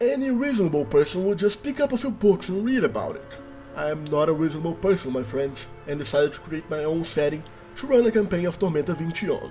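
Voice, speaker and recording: With a Brazilian accent, a man talks at a very fast pace in a high pitch with very wide pitch swings. Music plays in the background. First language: Brazilian Portuguese. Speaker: worldbuilding YouTuber. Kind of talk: scripted narration.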